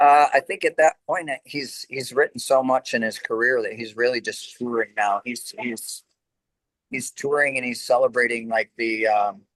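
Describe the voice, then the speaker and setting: A man with a medium pitch speaks at a moderate pace with ordinary pitch variation. The sound is dry and close, with no echo. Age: 60s. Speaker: rock singer. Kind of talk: interview. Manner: casual, hesitant with fillers.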